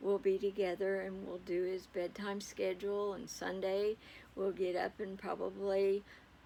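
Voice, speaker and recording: Relaxed in tone, a woman with a dark, mellow tone speaks at a medium pitch and a moderate pace in a monotone, flat intonation. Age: 70s. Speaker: great-grandmother. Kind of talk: casual talk to camera. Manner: relaxed, rambling with fillers.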